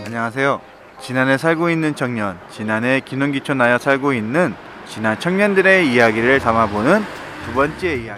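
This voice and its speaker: A man speaks at a moderate pace with a medium pitch and lively intonation. Noticeable background noise runs behind him. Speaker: interviewer. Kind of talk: interview questions.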